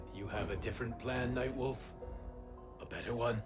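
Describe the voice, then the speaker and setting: A man uses a put-on character voice at a medium pitch and a moderate pace. Loud music plays in the background. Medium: video game. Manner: grave, measured.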